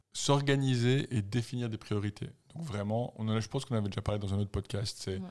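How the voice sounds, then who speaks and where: Recorded very cleanly over a silent background, a man speaks at a very fast pace with a fairly low pitch. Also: ordinary pitch variation. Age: 40s. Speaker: podcast co-host, runner. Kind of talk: casual chat.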